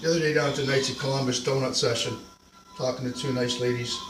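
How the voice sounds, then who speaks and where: Very fast speech in an American accent with fairly even intonation, plus audible room echo and noticeable background noise. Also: man. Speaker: video blogger. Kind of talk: casual vlog monologue.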